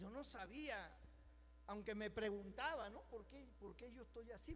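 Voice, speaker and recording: Noticeable background noise and audible room echo surround a voice moving at a fairly slow pace. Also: man. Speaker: pastor. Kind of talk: sermon. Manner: animated.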